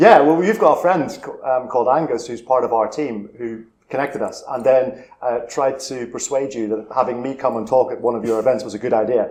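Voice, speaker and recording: A man talks at a fairly quick pace with a Northern Irish accent and hardly any pauses. His pitch moves in an ordinary way. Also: medium pitch for a man. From Northern Ireland, Belfast. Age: 50s. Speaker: charity chief executive. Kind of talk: interview.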